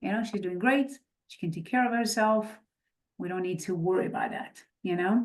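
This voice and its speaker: At a fairly quick pace, a woman speaks at a fairly high pitch with ordinary pitch variation, big swings in loudness and long, frequent pauses. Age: 50s. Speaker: real estate investor. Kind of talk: podcast interview.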